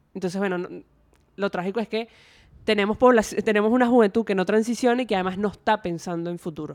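A woman at medium pitch talks at a very fast pace, yet with long, frequent pauses and fairly even intonation. The recording is very clean with a silent background and a dry, close sound with no echo. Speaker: youth researcher. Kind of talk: casual interview chat.

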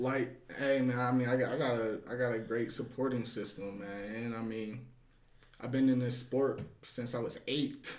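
Monotone, flat intonation from a man at medium pitch and moderate pace, with audible room echo. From Ohio, US. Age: 20s. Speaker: boxer. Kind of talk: casual interview. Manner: halting, many repetitions.

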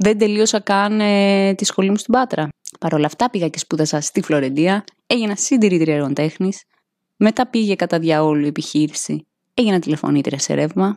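A woman with a medium-pitched voice talks at a moderate pace in an animated tone, her intonation lively and the sound dry and close with no echo. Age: 30s. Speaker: podcaster, tarot card reader. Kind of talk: solo monologue, card reading.

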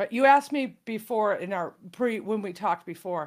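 A woman with an American accent talks at a moderate pace in a normal speaking voice, her intonation lively, on a very clean recording with a silent background. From US Midwest, Illinois. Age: 60s. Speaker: comedy writer and improv comedian. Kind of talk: casual interview chat.

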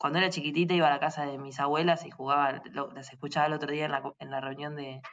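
Keeping her intonation fairly even, a woman speaks at a fairly quick pace. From Argentina, rural Buenos Aires province. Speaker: industrial designer and social entrepreneur. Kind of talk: interview.

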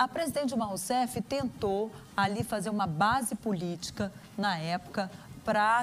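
A woman with a fairly high pitch and ordinary pitch variation speaks in an ordinary speaking voice. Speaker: journalist interviewer. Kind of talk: political interview. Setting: video call.

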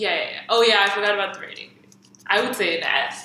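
Noticeable background noise sits behind this recording. A woman with a medium pitch speaks at a fairly quick pace. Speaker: podcast co-host. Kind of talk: casual chat.

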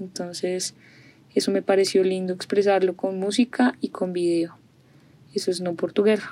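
A woman's medium-pitched voice, dark and mellow in tone, at a moderate pace, with monotone, flat intonation and long, frequent pauses. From Colombia, Bogotá. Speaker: singer-songwriter. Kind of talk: interview.

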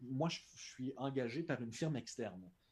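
Somewhat breathy, a man speaks in a Quebec accent. His pitch is medium. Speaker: translator and sports broadcaster. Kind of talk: casual interview.

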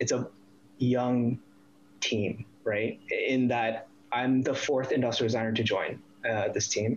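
Medium pitch and a moderate pace from a man with an American accent. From US East Coast, Northern Virginia / DC area. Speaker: industrial designer. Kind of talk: casual interview.

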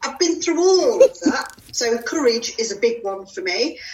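A woman's enthusiastic tone with very wide pitch swings, over noticeable background noise. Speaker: coach. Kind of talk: interview.

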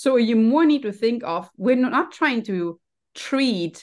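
Her pitch swings very widely. The woman speaks over a quiet background. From Germany. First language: German. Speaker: health and happiness coach. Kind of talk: casual interview.

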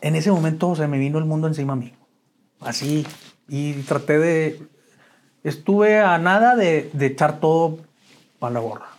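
Long, frequent pauses break up speech delivered at a moderate pace with ordinary pitch variation. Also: man, fairly high pitch for a man. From Mexico, Chihuahua. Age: 50s. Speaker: author sharing recovery story. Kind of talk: interview testimony. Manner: halting, many repetitions.

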